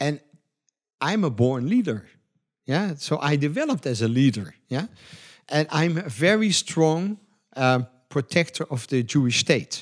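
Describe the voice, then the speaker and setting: A man with a Dutch accent speaks at a fairly slow pace with long, frequent pauses. His pitch is fairly high, his intonation lively, and the background quiet. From Netherlands. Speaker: entrepreneur. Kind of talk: interview.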